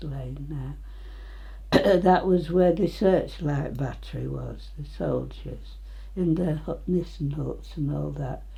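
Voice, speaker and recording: Speaking in an East Midlands accent, a woman goes at a very slow pace. Her voice carries audible room echo. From England, Nottinghamshire (Retford). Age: 90s. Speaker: elderly local resident. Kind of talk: oral history interview.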